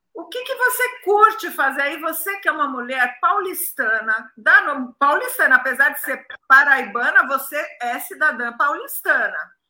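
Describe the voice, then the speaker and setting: A woman's high-pitched, raised and projected voice has a bright, sharp tone, very wide pitch swings, and a fairly slow pace. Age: 60s. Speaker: live show host. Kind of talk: casual interview on a live stream. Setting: video call live stream. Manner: animated.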